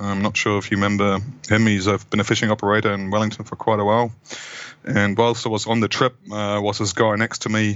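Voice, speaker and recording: A man speaks at a very fast pace in a fairly low pitch with flat, monotone intonation. Noticeable background noise runs underneath. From Germany. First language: German. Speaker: freediving instructor. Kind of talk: casual interview.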